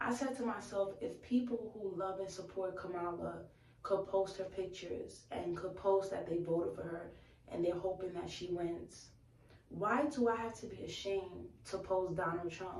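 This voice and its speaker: With an American accent, a woman speaks at a moderate pace and medium pitch with ordinary pitch variation. Audible room echo and noticeable background noise are present. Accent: Bronx accent, heavier when upset. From New York, the Bronx. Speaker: YouTube vlogger. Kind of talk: casual chat. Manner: animated.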